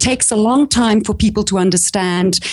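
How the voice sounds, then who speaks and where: With a South African accent, a somewhat breathy woman speaks at a moderate pace and with ordinary pitch variation. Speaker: small business coach. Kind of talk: casual interview. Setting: remote call.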